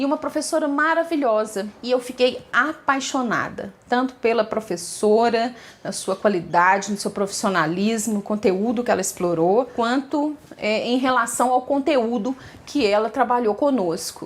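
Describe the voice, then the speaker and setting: Lively in intonation, a woman speaks at a fairly high pitch. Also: moderate pace. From Minas Gerais, Brazil. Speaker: teacher. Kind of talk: personal story told to camera. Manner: conversational, with filler hesitations.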